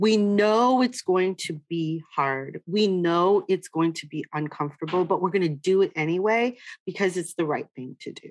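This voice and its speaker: A woman speaks in a normal speaking voice at medium pitch, with ordinary pitch variation, a moderate pace, hardly any pauses, and a dry, close sound with no echo. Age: 50s. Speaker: diversity and inclusion consultant. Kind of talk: interview. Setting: video call.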